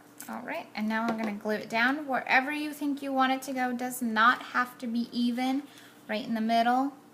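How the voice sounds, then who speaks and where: A woman speaks with a high pitch and monotone, flat intonation. Her pace is fairly quick, and background noise is noticeable. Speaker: card-making crafter. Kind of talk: tutorial. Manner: casual, chatty.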